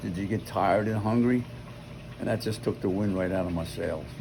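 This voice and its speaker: Someone with an American accent speaks at a fairly quick pace with ordinary pitch variation, and the room echo is audible. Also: man. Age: 90s. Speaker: grandfather. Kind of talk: family chat. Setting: outdoors by a pool.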